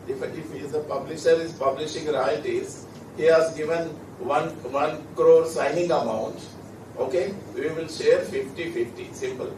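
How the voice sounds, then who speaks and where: With audible room echo and noticeable background noise, a man's speech proceeds at a moderate pace. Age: 60s. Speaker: law expert panelist. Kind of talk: Q&A answer at a conference. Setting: conference hall with audience.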